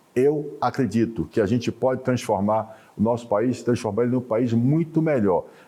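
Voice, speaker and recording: The voice has a dark, mellow tone and very even loudness. It moves at a moderate pace with ordinary pitch variation. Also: man, medium pitch for a man. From Bahia, Brazil. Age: 60s. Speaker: business association president. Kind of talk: interview.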